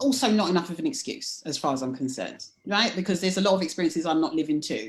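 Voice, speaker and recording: Delivery is fairly quick with lively intonation. The recording is very clean, with a silent background. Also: woman. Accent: London. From London, England. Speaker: leadership coach. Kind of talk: casual chat.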